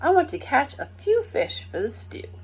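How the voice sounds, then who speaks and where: The speaker uses a put-on character voice. Delivery comes at a moderate pace. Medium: read story. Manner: eager.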